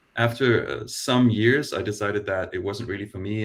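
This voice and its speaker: In a very clean recording with a silent background, a man talks very fast at a fairly low pitch in a somewhat breathy voice. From Denmark. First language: Danish. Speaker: design operations lead. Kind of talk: panel discussion.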